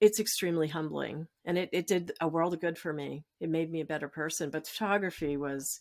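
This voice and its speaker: Fairly even intonation, with hardly any pauses. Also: woman, fairly low pitch for a woman. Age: 60s. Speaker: storyteller and change advocate. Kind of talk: podcast interview. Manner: halting.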